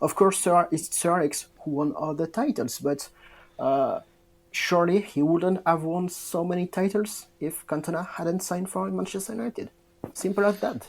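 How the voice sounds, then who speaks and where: In a French accent, a man speaks at a moderate pace. His pitch is high, with ordinary variation. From southwest France. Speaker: football fan podcast guest. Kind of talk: casual chat. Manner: halting.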